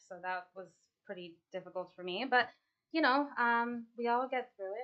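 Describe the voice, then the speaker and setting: A plain, everyday voice speaks at a moderate pace with ordinary pitch variation. Its loudness swings widely. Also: woman, fairly high pitch for a woman. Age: 30s. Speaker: artist and paint class instructor. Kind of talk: casual interview chat. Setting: art studio, live stream.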